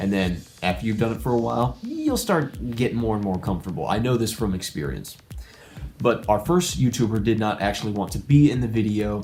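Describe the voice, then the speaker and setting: Music plays in the background as a man talks with an American accent. His pitch is fairly low and his intonation is lively. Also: fairly quick pace. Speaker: YouTuber. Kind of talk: vlog monologue. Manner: rambling.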